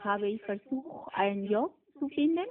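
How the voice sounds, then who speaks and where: With a Spanish accent, a woman speaks at a fairly slow pace using lively intonation. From Peru, coast. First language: Spanish (speaking German). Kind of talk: interview.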